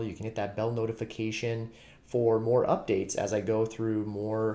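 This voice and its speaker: A man's dark, mellow tone at a moderate pace. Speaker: true crime channel host. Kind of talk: commentary. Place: home room. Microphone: webcam.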